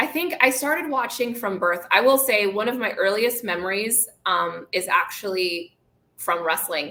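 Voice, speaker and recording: A woman with an American accent, fairly high in pitch, with a bright, sharp tone and lively intonation. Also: moderate pace. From Dorchester, Boston, US. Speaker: wrestling show co-host. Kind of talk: casual live show chat. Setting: live stream studio.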